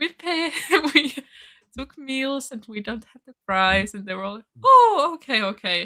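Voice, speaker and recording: A woman with a high pitch and a bright, sharp tone projects a raised voice at a fairly slow pace. Her pitch swings very widely and her loudness shifts in big swings. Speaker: language channel volunteer. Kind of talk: casual chat.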